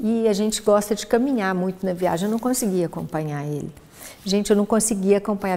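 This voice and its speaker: A woman speaks at a very fast pace with a medium pitch. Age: 60s. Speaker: guest, geneticist and cancer survivor. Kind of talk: casual chat.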